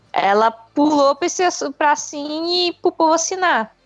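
A woman's voice swings very widely in pitch against a quiet background, the sound dry and close with no echo. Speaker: podcaster. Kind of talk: casual chat.

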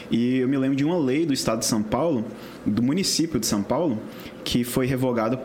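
A man at a medium pitch and fairly quick pace, ordinary pitch variation, audible room echo and noticeable background noise. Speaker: podcast co-host. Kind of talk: casual interview.

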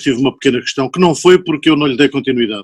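The man talks with a normal speaking voice, a fairly high pitch, and lively intonation. The sound is dry and close, with no echo. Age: 60s. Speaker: chemical engineer and poet. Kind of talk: casual chat.

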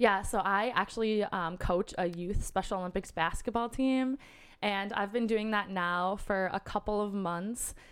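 In a very clean recording with a silent background, a woman with a plain, everyday voice and an American accent speaks at medium pitch and a moderate pace with fairly even intonation. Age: 20s. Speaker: nonprofit worker. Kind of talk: casual interview. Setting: in person.

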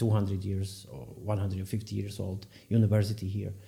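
Somewhat breathy, the man's voice sits at a fairly low pitch. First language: Slovak. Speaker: podcast host. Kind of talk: interview.

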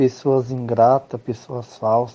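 Speaking very slowly, a man holds a monotone, flat intonation at a medium pitch. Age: 20s. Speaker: adult education student, self-employed worker. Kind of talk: interview.

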